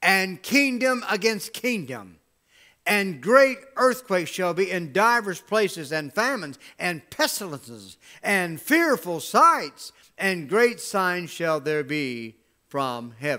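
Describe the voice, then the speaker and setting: Over a quiet background, a man projects a raised, high-pitched voice with a bright, sharp tone, very wide pitch swings and a very slow pace. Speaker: pastor. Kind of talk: sermon. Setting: church with livestream camera. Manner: animated, exhortative preaching with call-and-response; emphatic, rhetorical questions and repeated phrases. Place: church.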